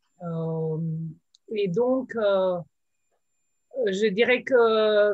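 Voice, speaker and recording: In a Slovenian accent, a woman speaks at medium pitch. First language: Slovene (speaking French). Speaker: translator. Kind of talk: panel discussion. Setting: video call. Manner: hesitant, with many fillers.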